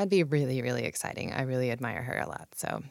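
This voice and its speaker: A woman is whispering. She has an American accent. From Washington State, Puyallup. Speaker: politics podcast host, here interviewed as guest. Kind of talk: interview. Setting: studio.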